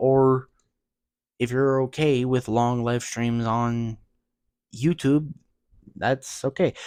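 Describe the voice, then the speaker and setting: Soft-spoken and at a fairly slow pace, a man with a medium pitch and a dark, mellow tone is heard on a very clean recording with a silent background. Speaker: gaming streamer. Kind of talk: casual vlog talk. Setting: at home, early morning. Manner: soft-spoken, keeping voice down; normally loud talker.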